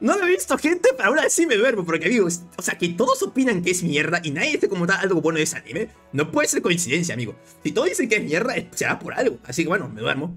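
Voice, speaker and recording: A man at a very fast pace over faint music in the background. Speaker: streamer. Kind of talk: casual stream commentary. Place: home room.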